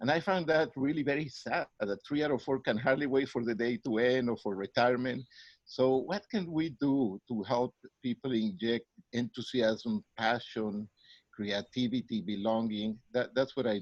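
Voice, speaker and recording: In a Mexican accent, a man talks at a moderate pace and medium pitch with ordinary pitch variation. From Mexico City, Mexico. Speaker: psychologist and professor. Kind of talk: interview.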